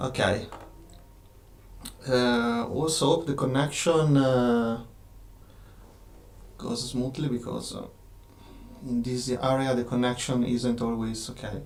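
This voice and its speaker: In a slight Italian accent, a man speaks at a medium pitch and a very slow pace with long, frequent pauses and fairly even intonation, and audible room echo surrounds his voice. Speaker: game designer and studio owner. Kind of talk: live stream Q&A. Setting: live stream from office. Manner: halting, many fillers.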